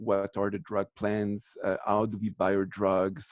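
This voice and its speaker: A man with a French accent speaks at a moderate pace and a fairly low pitch. The sound is dry and close with no echo, over a quiet background. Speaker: professor. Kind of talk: lecture. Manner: halting, many false starts.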